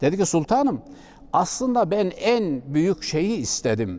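The speaker is a man talking at a fairly slow pace. His pitch swings very widely. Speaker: Islamic preacher. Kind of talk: religious talk.

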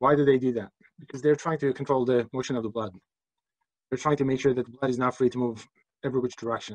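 A man with a medium-pitched voice talks at a very fast pace in a flat monotone, broken by long, frequent pauses. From Turkey. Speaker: physics instructor. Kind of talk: lecture; personal anecdote. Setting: online class.

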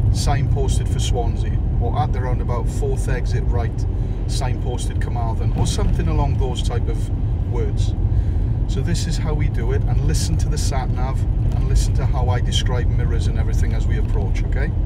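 A man talks at a moderate pace over loud background noise. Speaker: driving instructor. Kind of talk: driving tutorial commentary. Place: car. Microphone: phone near.

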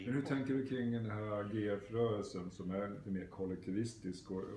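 Over light background noise and audible room echo, a man speaks at a fairly low pitch and a moderate pace. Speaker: psychotherapist. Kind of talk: interviewer questions. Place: home room.

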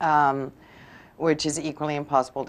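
This woman speaks with a very deep, low pitch. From England. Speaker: author; guest. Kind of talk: TV interview. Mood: amused, anecdotal. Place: studio.

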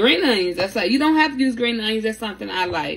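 A woman at medium pitch speaks with big pitch swings.

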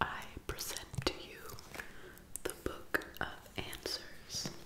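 A woman whispers at a very slow pace. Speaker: ASMR creator. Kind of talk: ASMR whispered reading. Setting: close-up microphone, studio. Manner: whispered, soft, slow. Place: home room. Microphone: phone near.

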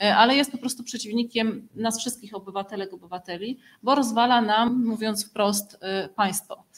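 The pitch of this woman's voice varies in an ordinary way. She keeps a moderate pace. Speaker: activist moderating a press conference; conference speaker. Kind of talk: press conference. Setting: press conference at organisation headquarters. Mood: serious, critical. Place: meeting room. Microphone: podium.

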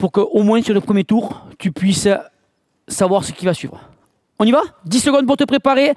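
A man with a high pitch and ordinary pitch variation talks at a moderate pace. The sound is dry with no echo, over a quiet background. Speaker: fitness coach. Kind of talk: workout tutorial. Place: gym.

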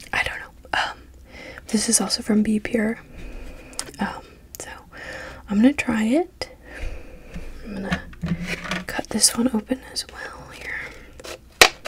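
A woman whispering at a very slow pace, with big swings in loudness and long, frequent pauses. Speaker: ASMR creator. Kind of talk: ASMR soft-spoken haul video, casual talk to camera. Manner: soft-spoken. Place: home room. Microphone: studio mic.

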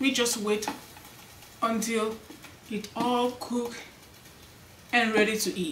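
A woman talks at a very slow pace with fairly even intonation, over light background noise and with audible room echo. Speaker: cooking channel host. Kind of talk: casual cooking vlog chat. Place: home room.

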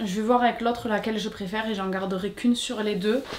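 Over noticeable background noise, a woman speaks at a fairly quick pace with a fairly high pitch. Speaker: lifestyle vlogger. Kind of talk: casual vlog talk to camera. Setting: at home. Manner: animated.

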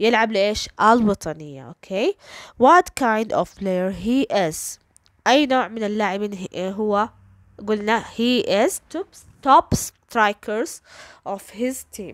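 A woman speaks at a fairly high pitch with lively intonation and a very slow pace. The sound is dry and close, with no echo. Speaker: English teacher. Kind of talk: tutorial.

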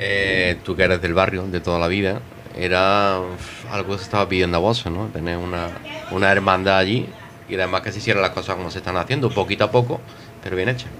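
Light background noise sits behind a man talking at a very fast pace with a very deep, low pitch and fairly even intonation. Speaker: radio host. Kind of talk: casual chat. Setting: bar. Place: bar. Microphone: studio mic.

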